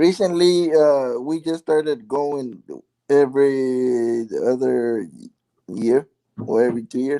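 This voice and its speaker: This man has a strong Mexican accent and a dark, mellow tone at medium pitch. He talks at a very slow pace. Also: ordinary pitch variation. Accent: thick Mexican. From California and Mexico. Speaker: live stream participant. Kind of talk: casual chat.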